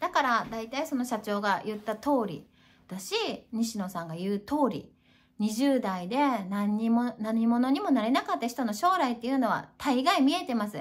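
A woman with a high voice talks at a moderate pace in an animated tone, the background quiet. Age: 40s. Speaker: YouTuber; self-help vlogger. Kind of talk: casual monologue. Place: home room. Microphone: webcam.

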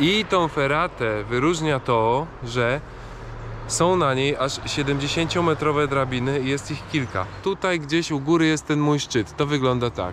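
Over noticeable background noise, a man speaks very slowly in a dry sound with no echo. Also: ordinary pitch variation. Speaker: hiking vlogger. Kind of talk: casual vlog chat. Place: street. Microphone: phone near.

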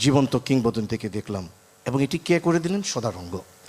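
With very wide pitch swings, a man talks in a fairly high voice. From Bangladesh, Brahmanbaria (Nabinagar). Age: 50s. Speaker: journalist. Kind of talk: speech at event.

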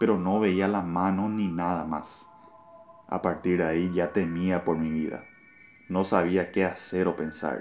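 Music plays behind a man with a very deep, low pitch. He speaks at a fairly slow pace in a monotone, flat intonation. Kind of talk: ghost story telling. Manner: tense, suspenseful.

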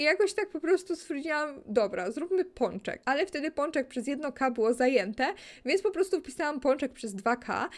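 A woman's high-pitched voice with a calm, relaxed tone and very wide pitch swings. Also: moderate pace, very clean recording, silent background. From Poland, Kraków area. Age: 20s. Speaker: gaming YouTuber. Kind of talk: casual Q&A chat over gameplay.

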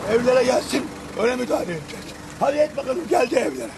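Noticeable background noise is present throughout. A man speaks at a fairly quick pace over it. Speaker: local resident. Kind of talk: angry street interview. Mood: angry and desperate. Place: street.

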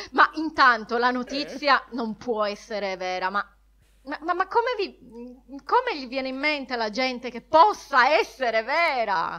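The voice is raised and projected, with a bright, sharp tone. It moves at a fairly slow pace through very wide pitch swings. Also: woman, high pitch for a woman. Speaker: podcast co-host. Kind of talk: casual chat.

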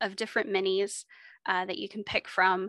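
Against a quiet background, a woman with an American accent speaks in a bright, sharp tone, the sound dry with no echo. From Texas. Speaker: librarian teaching a miniature painting workshop. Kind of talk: tutorial. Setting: video call. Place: home room. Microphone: studio mic.

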